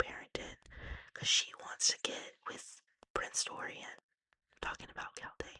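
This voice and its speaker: The woman's whispering moves along at a fairly slow pace. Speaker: ASMR artist. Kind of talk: book recap. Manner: whispered.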